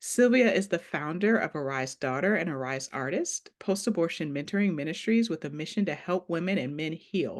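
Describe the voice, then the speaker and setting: A woman speaks with a plain, everyday voice and an American accent, her fairly low pitch carrying lively intonation at a moderate pace over a quiet background. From Ohio. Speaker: podcast host. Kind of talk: interview.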